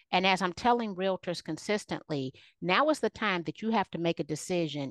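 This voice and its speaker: Against a quiet background, a woman speaks in an unremarkable speaking voice, fairly low in pitch with ordinary variation. The sound is dry and close, with no echo. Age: 50s. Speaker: keynote speaker and realtor. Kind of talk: casual interview.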